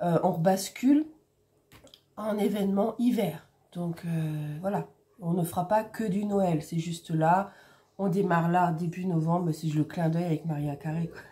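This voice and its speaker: Soft-spoken and fairly low-pitched, a woman talks at a fairly slow pace with ordinary pitch variation and long, frequent pauses. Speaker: crafts YouTuber. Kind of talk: casual vlog chat. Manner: hesitant, many fillers.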